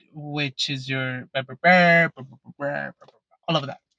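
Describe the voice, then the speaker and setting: A man's fairly high, monotone voice with flat intonation, in a Mexican accent, at a moderate pace, dry and close with no echo. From Mexico. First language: Spanish. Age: 30s. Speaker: YouTuber, Pokemon collector. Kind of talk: casual vlog Q&A. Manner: halting, some self-corrections.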